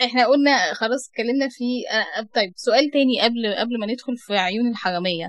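Speaking in an Egyptian accent, a woman uses a fairly high pitch. Her pace is moderate, with ordinary pitch variation. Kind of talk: interview. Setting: radio studio.

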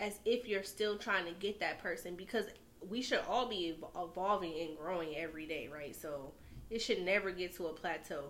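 A woman speaks in a normal speaking voice with an American accent. Her pitch is fairly low, with ordinary variation, and her pace is moderate. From New York. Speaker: podcast guest. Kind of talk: casual chat.

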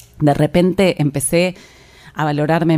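Speaking with an Argentine accent, a woman uses a very deep, low pitch and fairly even intonation. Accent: Rioplatense Argentine Spanish. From Argentina, La Plata. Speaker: yoga teacher and podcast host. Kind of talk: personal storytelling monologue.

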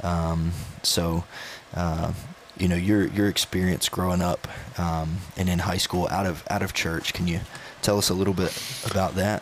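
Someone with a Southern US accent speaks at a moderate pace in a monotone with flat intonation and very even loudness. Long, frequent pauses break up the speech over noticeable background noise. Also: man, very deep, low pitch for a man. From North Carolina. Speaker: student pastor. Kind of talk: casual chat. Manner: halting, many fillers and repetitions.

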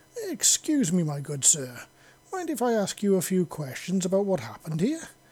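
A put-on character voice, female-sounding and gravelly, sits at a middle pitch. Its pitch swings very widely at a moderate pace. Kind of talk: posh.

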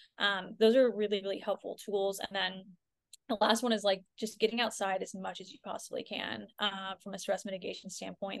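A woman speaks at a moderate pace with a Californian accent. Her medium pitch stays monotone, with flat intonation. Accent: Californian American. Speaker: functional health coach. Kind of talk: podcast interview. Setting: video call.

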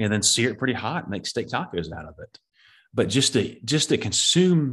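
His pace is moderate. The man's pitch swings very widely. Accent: Southern US. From US Southeast. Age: 30s. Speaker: deer habitat manager and podcast host. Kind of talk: casual interview.

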